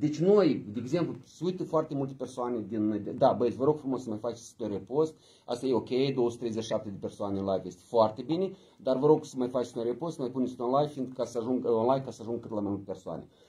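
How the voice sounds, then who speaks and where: A somewhat breathy man's voice, very fast, dark and mellow, with ordinary pitch variation and big swings in loudness. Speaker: party politician and live stream host. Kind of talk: casual live stream chat, bilingual Romanian and Russian. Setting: office, live video stream. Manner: animated, energetic. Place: meeting room. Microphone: phone near.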